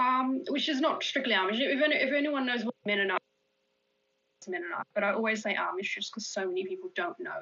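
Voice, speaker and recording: A woman with a high pitch speaks at a fairly quick pace with very wide pitch swings. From Australia. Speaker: magazine editor. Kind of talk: interview. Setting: live stream.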